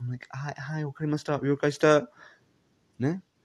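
A man with an English accent, in a dry, close sound with no echo. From England. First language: English (speaking Japanese). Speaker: podcaster. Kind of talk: casual monologue. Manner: halting.

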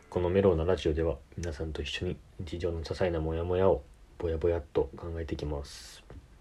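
A man talks fairly quickly in a very deep, low voice with a dark, mellow tone. His delivery is somewhat breathy and his intonation monotone and flat. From Tokyo, Japan. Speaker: podcast host. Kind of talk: casual solo chat.

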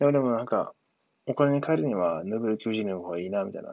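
A man's unremarkable speaking voice, fairly low-pitched, with ordinary pitch variation. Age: 30s. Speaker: former cook turned programming student. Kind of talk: solo monologue podcast. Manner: casual, filler-heavy.

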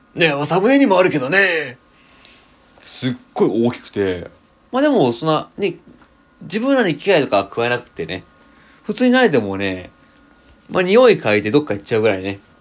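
A man's fairly high voice, fairly quick, with very wide pitch swings, big jumps in loudness, and long, frequent pauses. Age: 20s. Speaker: podcaster. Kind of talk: casual chat.

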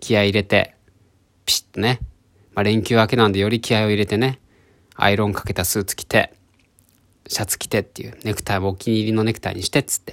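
A man's fairly low voice at a very fast pace, with long, frequent pauses and big swings in loudness, dry and close with no echo on a very clean recording with a silent background. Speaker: podcaster. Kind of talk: solo storytelling. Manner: animated.

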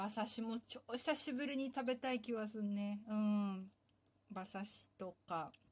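Somewhat breathy, a woman's fairly high voice shows ordinary pitch variation. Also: fairly slow pace. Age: 30s. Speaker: solo talk show host. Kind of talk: casual monologue. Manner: animated, frequent laughter.

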